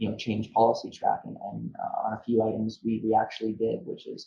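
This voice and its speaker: This man's pace is moderate. He talks with a Canadian accent. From Ontario, Canada (Niagara region). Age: 20s. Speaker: trade lawyer, university alumnus. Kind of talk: interview. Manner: halting, many fillers and repetitions.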